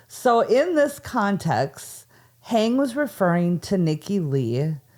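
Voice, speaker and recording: Very slow speech from a woman with an American accent, medium in pitch with very wide pitch swings and very even loudness, on a very clean recording with a silent background. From Minnesota. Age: 40s. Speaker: podcast host. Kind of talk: casual chat; storytelling.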